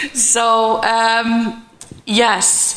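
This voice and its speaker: With a European accent, a woman speaks in a fairly high voice amid audible room echo and noticeable background noise. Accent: non-native European English. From Denmark. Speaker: keynote speaker, transport consultant. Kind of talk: conference presentation.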